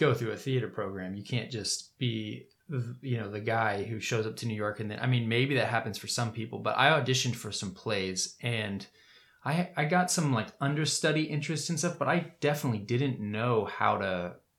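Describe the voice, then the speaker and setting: A man with an unremarkable speaking voice and an American accent talks at a moderate pace and medium pitch with lively intonation. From US South, Winter Park, Florida. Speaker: actor and filmmaker. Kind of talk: casual chat.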